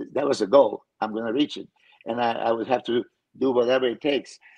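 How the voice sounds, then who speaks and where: A man speaks at a medium pitch in a Serbian accent and a fairly quick pace. The sound is dry and close, with no echo. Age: 50s. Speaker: pro bodybuilder and coach. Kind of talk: casual chat. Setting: video call.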